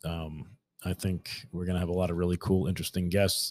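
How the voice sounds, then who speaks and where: A man with a New York accent, very deep and low in pitch, with a dry, close sound with no echo on a very clean recording with a silent background. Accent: New York City. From New York City, Staten Island. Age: 30s. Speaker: podcast host, new hunter. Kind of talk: solo podcast monologue. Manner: halting, many fillers and repeats.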